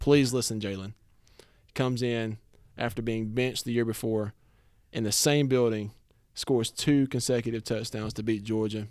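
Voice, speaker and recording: Recorded very cleanly against a silent background, a man with a Southern US accent speaks at a medium pitch in a monotone, flat intonation with long, frequent pauses. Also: moderate pace. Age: 20s. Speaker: podcast host. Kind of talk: casual chat.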